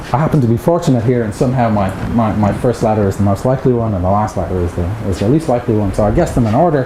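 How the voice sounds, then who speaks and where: With an Irish accent and a medium pitch, a man speaks at a very fast pace yet leaves long, frequent pauses, amid noticeable background noise and audible room echo. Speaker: mathematics researcher. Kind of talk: lecture. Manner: hesitant, repeats words.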